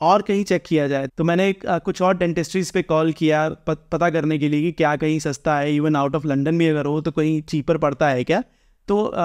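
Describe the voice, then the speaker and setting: In an Indian accent, a man speaks at a fairly high pitch and a moderate pace with hardly any pauses. His intonation is fairly even, his loudness very even, and the background quiet. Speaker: vlogger. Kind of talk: informal explainer vlog. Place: home room.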